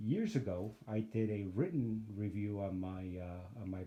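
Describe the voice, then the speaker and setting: A man speaks at a fairly slow pace with a dark, mellow tone. His pitch is fairly low and somewhat breathy. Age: 60s. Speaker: photography YouTuber reviewing gear. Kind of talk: casual gear review vlog. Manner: casual, hesitant with many fillers.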